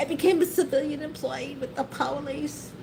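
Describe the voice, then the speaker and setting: A woman with a New York accent speaks in an animated tone at a moderate pace. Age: 60s. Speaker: YouTuber, retired civil service worker. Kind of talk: casual storytelling livestream. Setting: livestream. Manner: halting, repetitive.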